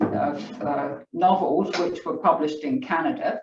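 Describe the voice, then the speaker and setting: A woman with a strong English accent at a fairly slow pace. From England. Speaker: author. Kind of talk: book club discussion.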